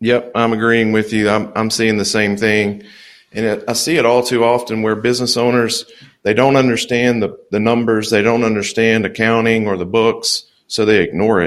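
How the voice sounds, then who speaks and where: A man's medium-pitched voice at a moderate pace, monotone and flat in intonation. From Louisiana. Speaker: accountant and business consultant. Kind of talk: interview conversation. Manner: laid back.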